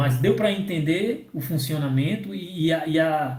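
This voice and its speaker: The speaker talks at a very slow pace, somewhat breathy, with ordinary pitch variation. Room echo is audible. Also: man. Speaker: software development instructor. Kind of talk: technical training session.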